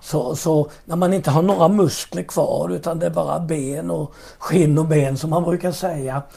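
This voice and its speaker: Amid noticeable background noise, a man with a fairly high pitch speaks at a moderate pace with fairly even intonation and hardly any pauses. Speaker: pastor. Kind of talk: interview about faith and testimony.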